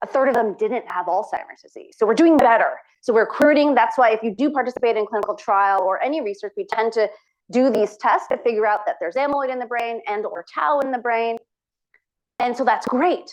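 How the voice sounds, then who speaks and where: With lively intonation, a woman speaks fairly quickly at a fairly high pitch. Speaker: physician researcher. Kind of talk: lecture. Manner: fast.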